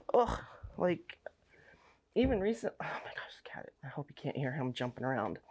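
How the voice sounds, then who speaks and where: A woman with a very deep, low pitch speaks at a moderate pace, her pitch swinging very widely and her loudness rising and falling sharply, with long, frequent pauses. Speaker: bead crafting youtuber. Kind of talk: casual unboxing vlog. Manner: rambling, halting.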